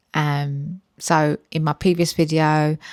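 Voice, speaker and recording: A woman with a British accent speaks in a very deep, low pitch and a monotone, flat intonation. The very clean recording has a silent background and a dry, close sound with no echo. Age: 40s. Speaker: health and weight-loss vlogger. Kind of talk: personal vlog storytelling. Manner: conversational with frequent fillers.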